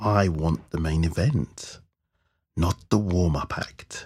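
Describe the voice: In a put-on character voice, a man speaks slowly at a low pitch with a slightly husky edge, a slightly mellow tone and ordinary pitch variation, on a very clean recording with a silent background.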